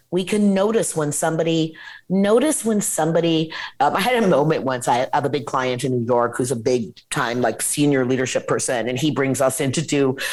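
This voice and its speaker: A woman with an American accent, a fairly quick pace and very wide pitch swings. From Washington State, US. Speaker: nonprofit founder and CEO. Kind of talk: interview. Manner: animated; halting.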